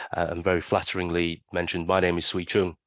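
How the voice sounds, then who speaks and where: A man with a London accent speaks at a very deep, low pitch, the sound dry and close with no echo against a quiet background. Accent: British, London. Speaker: financial benchmark company chief executive. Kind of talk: interview, casual.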